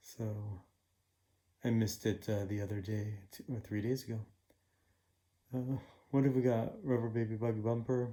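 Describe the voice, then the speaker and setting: Mumbling in a monotone, flat delivery, a man speaks at a medium pitch with a dark, mellow tone and long, frequent pauses. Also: moderate pace. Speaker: puzzle-solving YouTuber. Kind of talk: casual solo commentary while solving puzzles. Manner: halting, many fillers.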